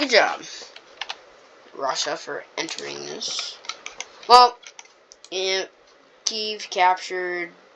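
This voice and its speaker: The voice is quiet and very slow, with long, frequent pauses. Noticeable background noise is present. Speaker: mapping video narrator. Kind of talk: casual commentary over map. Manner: halting, many fillers.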